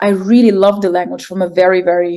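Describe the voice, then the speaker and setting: The tone is dark and mellow, with fairly even intonation and a fairly quick pace. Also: woman. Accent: German. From Germany, Egyptian family. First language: German and Arabic. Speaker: poet and artist. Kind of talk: interview conversation. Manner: hesitant, many fillers.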